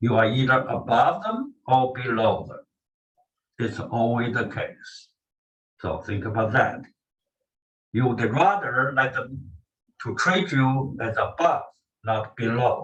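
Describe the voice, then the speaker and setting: A man with a Chinese accent speaks very slowly, with long, frequent pauses. His intonation is lively, and room echo is audible. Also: medium pitch for a man. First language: Mandarin Chinese. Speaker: language teacher. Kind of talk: lecture. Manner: halting.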